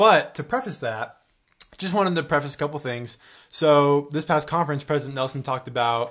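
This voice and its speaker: An ordinary speaking voice from a man, fairly high in pitch, at a fairly quick pace with ordinary pitch variation. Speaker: podcast co-host, college student. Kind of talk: casual chat.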